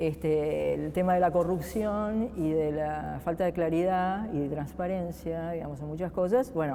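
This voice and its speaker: Noticeable background noise behind a woman speaking fairly slowly. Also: fairly low pitch for a woman, ordinary pitch variation, hardly any pauses. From Argentina. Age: 50s. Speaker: political scientist, research agency director. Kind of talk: interview. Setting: museum, interview set. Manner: hesitant, many fillers.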